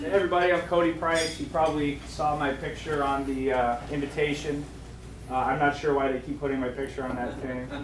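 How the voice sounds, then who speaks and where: Over noticeable background noise and audible room echo, a man talks at a fairly quick pace. His pitch is fairly high and his intonation fairly even. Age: 30s. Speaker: fund manager. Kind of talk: business seminar presentation.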